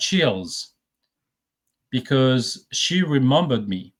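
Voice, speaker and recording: Here is a man with a French accent. He talks at a very slow pace. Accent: noticeable French. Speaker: remote viewer. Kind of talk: casual interview chat.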